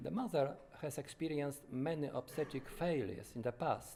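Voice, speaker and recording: A man speaks with a Polish accent and a fairly high pitch. His tone is dark and mellow, with ordinary pitch variation. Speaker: doctor. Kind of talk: testimony. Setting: conference. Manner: halting, with frequent self-corrections.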